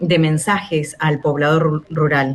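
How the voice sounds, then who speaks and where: A woman speaks with an Argentine accent. Her pace is very slow. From Chubut, Patagonia, Argentina. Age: 40s. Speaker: radio announcer. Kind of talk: radio interview answer.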